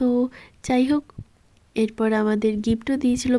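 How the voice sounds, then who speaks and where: A woman's voice with a dark, mellow tone and monotone, flat intonation. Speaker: vlogger. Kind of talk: vlog narration.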